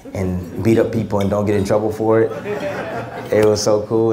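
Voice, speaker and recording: Talking at a fairly quick pace over noticeable background noise, a man uses a fairly low pitch and monotone, flat intonation. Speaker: guest. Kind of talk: interview answer. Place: hall. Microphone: handheld.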